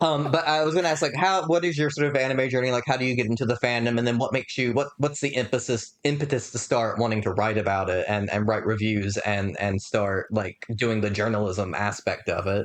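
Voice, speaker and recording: A man at medium pitch, with ordinary pitch variation, a fairly quick pace and hardly any pauses. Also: very even loudness. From US South. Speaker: podcast host. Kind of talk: interview.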